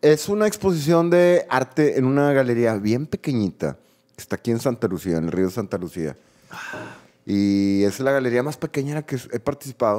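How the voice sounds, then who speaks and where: Against a quiet background, a man talks at a moderate pace in a medium pitch, his dark, mellow tone moving through very wide pitch swings. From Mexico. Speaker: podcast co-host. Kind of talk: casual chat. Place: studio. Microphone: studio mic.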